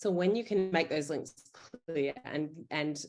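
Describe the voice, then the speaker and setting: With an Australian accent, this woman speaks at a very deep, low pitch with ordinary pitch variation. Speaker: emergency physician. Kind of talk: panel Q&A answer.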